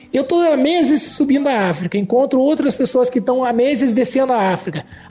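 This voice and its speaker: An extremely high-pitched male voice with lively intonation at a fairly quick pace, over noticeable background noise. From Curitiba, southern Brazil. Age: 40s. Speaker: travel writer and engineer. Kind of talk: podcast interview.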